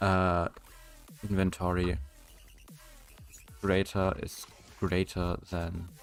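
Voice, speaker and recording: Over background music, a man mumbles at a very deep, low pitch, very slow and monotone, with long, frequent pauses. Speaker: game developer streamer. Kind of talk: live coding stream. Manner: mumbling; halting.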